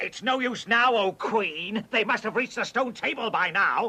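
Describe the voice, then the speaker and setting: At a moderate pace, the speaker performs in a cartoonish character voice. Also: man, extremely high pitch for a man. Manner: servile.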